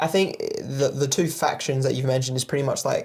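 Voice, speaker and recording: A man's fairly high-pitched voice with an Australian accent. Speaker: music producer and DJ. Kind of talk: casual chat.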